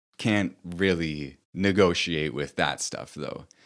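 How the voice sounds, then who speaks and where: A man's very deep, low voice with ordinary pitch variation comes through on a very clean recording with a silent background. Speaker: author and online content creator. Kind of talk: reflective monologue. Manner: casual, with fillers.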